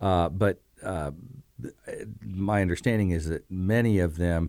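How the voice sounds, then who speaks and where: A man with an American accent speaks at a fairly slow pace in a very deep, low pitch with ordinary pitch variation. The recording is very clean, with a silent background. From Bloomington, Indiana, US Midwest. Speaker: retired university auditor. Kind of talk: interview. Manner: hesitant, many fillers.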